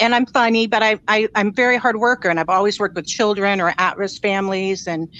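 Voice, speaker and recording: A woman speaks at medium pitch with a bright, sharp tone and ordinary pitch variation. She goes at a fairly quick pace with hardly any pauses against a quiet background. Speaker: caller sharing personal story. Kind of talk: casual chat.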